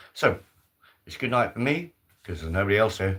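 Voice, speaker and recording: A man at a fairly low pitch with lively intonation and a moderate pace, on a very clean recording with a silent background. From Birmingham, English Midlands. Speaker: live stream host. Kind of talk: casual solo live stream chat. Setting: solo live stream on camera. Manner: hesitant, repetitive fillers.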